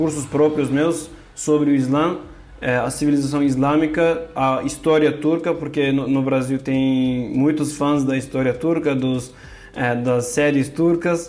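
A man with a fairly high voice speaks very slowly and with fairly even intonation, with audible room echo and noticeable background noise. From Turkey, Kurdish. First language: Turkish or Kurdish (speaking Portuguese). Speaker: religion scholar. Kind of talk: interview. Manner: halting, many fillers.

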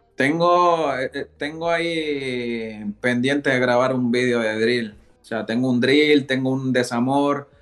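A man speaks at a medium pitch, very slowly and with hardly any pauses. His pitch varies in an ordinary way. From Ecuador, moved to Spain at 8. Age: 20s. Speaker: rapper. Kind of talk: casual interview.

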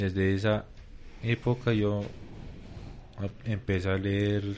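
At a very slow pace, a man speaks in a fairly low voice with monotone, flat intonation. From Bogotá, Kennedy. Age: 30s. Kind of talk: live radio chat.

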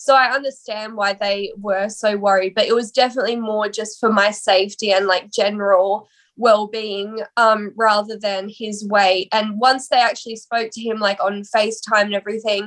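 A woman with an Australian accent talks at a moderate pace with hardly any pauses. Her fairly high voice holds a monotone, flat intonation. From Australia, Sydney. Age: 20s. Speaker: musician. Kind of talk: interview.

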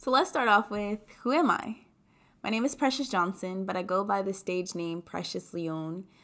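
Speaking at a moderate pace, a woman with an American accent uses a medium pitch and lively intonation on a very clean recording with a silent background. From US Mid-Atlantic (DC area). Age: 20s. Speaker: podcast host. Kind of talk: monologue podcast. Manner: animated.

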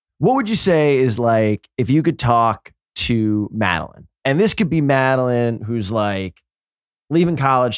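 On a very clean recording with a silent background, a man with an American accent speaks at medium pitch and a moderate pace in an unremarkable speaking voice. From New York. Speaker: podcast host. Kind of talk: casual interview chat.

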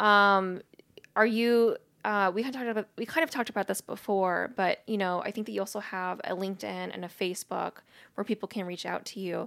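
A woman with an unremarkable speaking voice talks at a fairly quick pace. The recording is very clean, with a silent background and a dry, close sound with no echo. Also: medium pitch for a woman. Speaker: podcast host. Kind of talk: casual interview. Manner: excitable.

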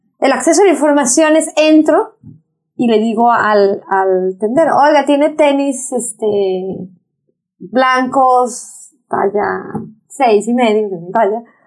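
A woman's high voice at a very slow pace, lively in intonation and very even in loudness. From Mexico, Acapulco. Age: 50s. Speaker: environmental activist. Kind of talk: interview. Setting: office. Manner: animated.

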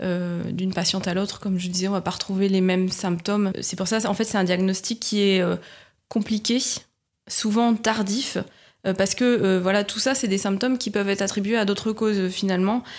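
In a very clean recording with a silent background, a woman uses a normal speaking voice at a medium pitch, with a fairly quick pace and fairly even intonation. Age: 30s. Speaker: patient sharing her illness. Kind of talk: testimony.

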